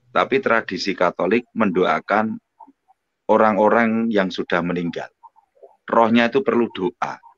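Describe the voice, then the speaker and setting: A man with a North Sumatran accent, fairly low in pitch, with long, frequent pauses and a dry, close sound with no echo. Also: fairly even intonation, fairly slow pace. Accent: sounds like a Batak. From Indonesia, Surabaya (East Java). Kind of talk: live online religious discussion. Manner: loud, forceful delivery.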